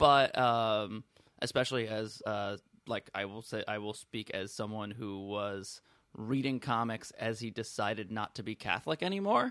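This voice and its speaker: A man speaks in a normal speaking voice at a fairly low pitch and moderate pace. The recording is very clean with a silent background, and his intonation is fairly even. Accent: American. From New York City, Manhattan. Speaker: stand-up comedian. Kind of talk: casual chat.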